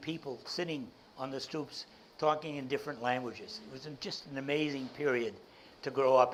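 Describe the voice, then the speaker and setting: With a Boston accent, a man speaks at a moderate pace in a fairly high voice with fairly even intonation. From Boston, South End. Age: 80s+. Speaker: entrepreneur and speaker. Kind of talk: keynote talk to audience.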